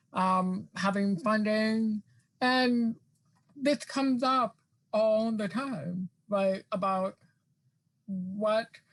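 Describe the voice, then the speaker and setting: This voice moves at a very slow pace with long, frequent pauses, very even loudness, ordinary pitch variation and a somewhat breathy quality. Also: woman, fairly high pitch for a woman. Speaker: academic guest speaker on access. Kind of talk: virtual staff meeting discussion. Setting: video call. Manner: many fillers, some repetitions.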